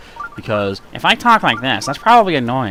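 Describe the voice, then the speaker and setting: Using a put-on character voice, a man with a medium pitch sounds nasal and talks fairly quickly with very wide pitch swings while music plays in the background. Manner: annoying.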